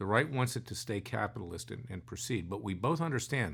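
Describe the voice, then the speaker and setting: A man's medium-pitched voice with vocal fry, lively intonation and a fairly quick pace, on a very clean recording against a silent background. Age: 60s. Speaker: lawyer and podcast co-host. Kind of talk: casual political discussion. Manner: animated.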